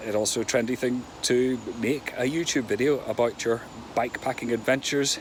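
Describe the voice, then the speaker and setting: Against noticeable background noise, a man talks at a moderate pace in a medium pitch with fairly even intonation. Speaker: cyclist. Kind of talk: casual talk to camera.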